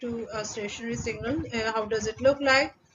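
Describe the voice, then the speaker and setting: A woman talks at a fairly quick pace with ordinary pitch variation and noticeable background noise. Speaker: conference paper presenter. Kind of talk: technical presentation. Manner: halting, many fillers.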